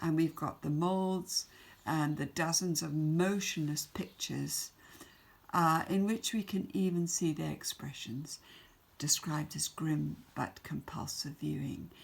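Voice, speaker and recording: A woman's very deep, low voice with an English accent, fairly slow, with ordinary pitch variation. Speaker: secondary school English teacher. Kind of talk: recorded remote lesson.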